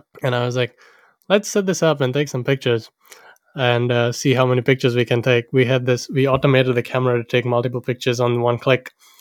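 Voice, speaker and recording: A man speaks at a very fast clip. His pitch sits in the middle range, and his intonation stays fairly even. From Sri Lanka. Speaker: storyteller. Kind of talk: personal storytelling.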